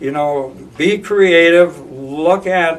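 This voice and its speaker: Speaking very slowly with an American accent, a man uses a fairly high pitch. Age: 70s. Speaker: school board candidate. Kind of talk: interview. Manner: halting, many repetitions and fillers.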